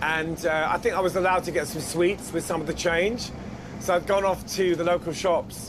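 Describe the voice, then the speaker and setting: Amid noticeable background noise, a man with a South London accent speaks at a high pitch and a moderate pace, his intonation fairly even. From South London, England. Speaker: singer and songwriter. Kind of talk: interview answer. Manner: casual, chatty.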